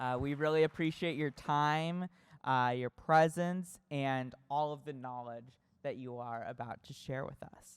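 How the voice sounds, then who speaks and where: A plain, everyday voice with an American accent speaks at a fairly slow pace with fairly even intonation and big swings in loudness, recorded very cleanly against a silent background. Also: man, fairly high pitch for a man. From California. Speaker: student moderator. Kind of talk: panel discussion.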